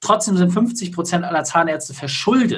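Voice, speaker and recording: Fairly quick and lively in intonation, a man speaks at a high pitch. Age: 30s. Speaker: business consultant. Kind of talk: interview.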